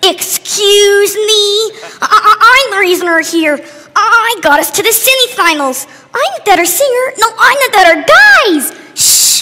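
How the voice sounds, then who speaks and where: A woman puts on a cartoonish character voice. Her pitch is extremely high. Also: fairly slow pace. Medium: puppet show. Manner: nervous, then indignant.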